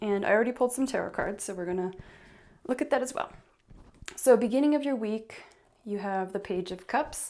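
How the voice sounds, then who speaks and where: The woman's pitch sits fairly high and varies in an ordinary way. She speaks at a fairly quick pace. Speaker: tarot reader. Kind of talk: tarot card reading. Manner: animated.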